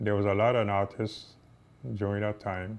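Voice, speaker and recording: Speaking at a fairly slow pace, a man keeps a fairly low pitch and a monotone, flat intonation. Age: 80s+. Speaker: retired boxer and artist. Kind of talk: personal storytelling. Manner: halting, with many fillers.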